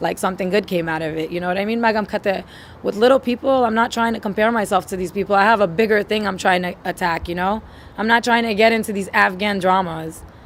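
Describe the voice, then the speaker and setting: Talking at a very fast pace, a woman with a New York accent uses a medium pitch and ordinary pitch variation. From New York, Queens. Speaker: musician. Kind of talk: interview. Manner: animated.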